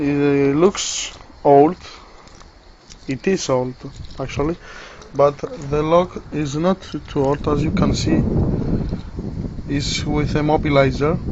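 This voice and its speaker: Over noticeable background noise, a speaker with a non-native accent talks at a very slow pace with long, frequent pauses. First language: not English. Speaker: hobbyist lockpicker demonstrating tools. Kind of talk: tutorial. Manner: halting.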